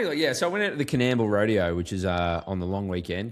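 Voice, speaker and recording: Speaking at a fairly quick pace in an Australian accent, a man with a very deep, low voice uses ordinary pitch variation. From Australia, rural Queensland (Goondiwindi). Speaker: sports podcast host. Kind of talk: casual chat.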